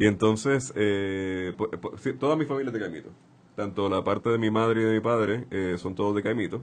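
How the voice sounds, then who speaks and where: A man at a fairly low pitch, moderate pace and ordinary pitch variation. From Puerto Rico, Santurce. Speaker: writer. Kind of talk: interview. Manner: halting.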